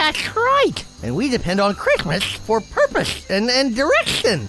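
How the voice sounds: A cartoonish character voice comes through over clear background noise. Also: moderate pace.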